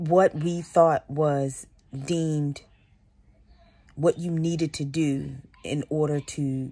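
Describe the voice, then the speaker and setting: This woman's very deep, low pitch carries a dark, mellow tone and monotone, flat intonation. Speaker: vlogger. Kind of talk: casual vlog chat. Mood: relaxed, reflective. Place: home room. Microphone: phone near.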